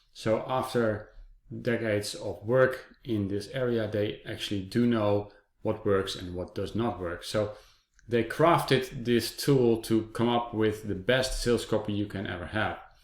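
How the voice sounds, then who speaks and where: Using a non-native accent, a man speaks at a fairly slow pace with a medium pitch and fairly even intonation. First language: not English. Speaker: software reviewer. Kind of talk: product review. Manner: hesitant, many fillers.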